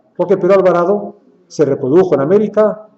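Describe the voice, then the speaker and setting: At a very fast pace, a man with a Spanish accent speaks at a high pitch with ordinary pitch variation. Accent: Spanish (Spain). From Spain. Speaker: lecturer. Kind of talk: lecture.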